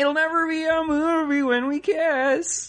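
Put-on character voice, pitched high. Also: fairly slow pace. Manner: goofy, comedic.

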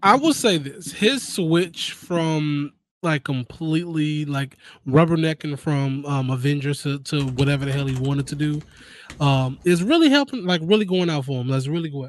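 An unremarkable speaking voice moves at a moderate pace with ordinary pitch variation against a quiet background. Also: man, fairly high pitch for a man. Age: 30s. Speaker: gaming podcast host. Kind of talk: casual chat.

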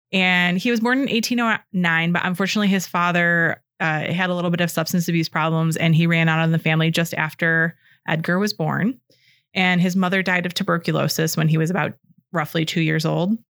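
A woman speaks in a Midwestern American accent at a fairly quick pace, her intonation fairly even and her loudness very even. The recording is very clean, with a silent background. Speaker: podcast co-host. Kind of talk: casual chat.

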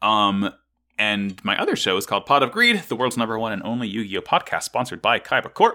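Very fast speech in a very clean recording with a silent background. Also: man. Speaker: podcast ringleader host. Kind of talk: casual chat.

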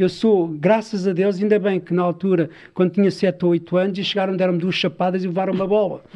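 A man talks fairly quickly in a high pitch with a dark, mellow tone. His delivery is flat and monotone over a quiet background. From Portugal, Sintra (Lisbon area). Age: 40s. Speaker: storyteller and traveller, former footballer. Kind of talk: interview conversation.

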